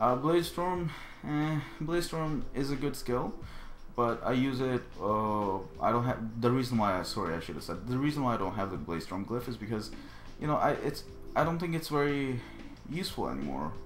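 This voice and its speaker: A man speaks in a non-native accent with lively intonation. His moderate pace carries audible room echo. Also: medium pitch for a man. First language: not English. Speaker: gaming video creator. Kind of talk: tutorial. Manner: halting; casual.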